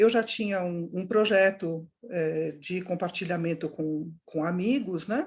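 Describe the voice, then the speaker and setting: This voice speaks at a fairly slow pace, somewhat breathy, with ordinary pitch variation. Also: woman, fairly low pitch for a woman. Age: 60s. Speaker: startup founder. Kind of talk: online course interview.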